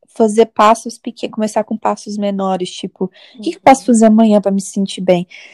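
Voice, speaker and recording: The recording has a dry, close sound with no echo. A woman speaks in a dark, mellow tone at a fairly high pitch. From Minas Gerais, Brazil. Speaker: podcast co-host. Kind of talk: casual chat.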